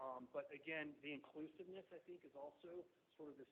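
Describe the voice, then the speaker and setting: A man talks at a moderate pace. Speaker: transportation planning consultant. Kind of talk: presentation at a public meeting. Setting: hybrid meeting room with remote attendees. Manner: loud, talkative; hesitant, many fillers.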